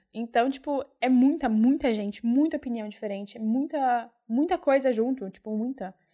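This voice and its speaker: A woman speaks at a moderate pace, her pitch high with ordinary variation. Her tone is dark and mellow. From São Paulo, Brazil (East Zone). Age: 20s. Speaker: au pair and volunteer worker. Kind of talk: casual interview chat. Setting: studio, face to face.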